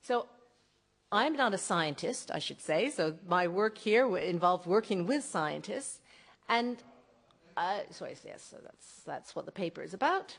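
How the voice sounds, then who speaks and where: An unremarkable speaking voice from a woman with a North American accent, fairly high in pitch, fairly slow, with lively intonation and big swings in loudness. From North America, across the Atlantic. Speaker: archaeologist. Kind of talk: lecture.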